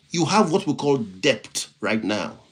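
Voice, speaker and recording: A man speaks at a fairly high pitch with very wide pitch swings. His voice carries vocal fry. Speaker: motivational speaker and IT professional. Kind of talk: live-stream motivational talk. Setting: live stream. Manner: repetitive, halting restarts.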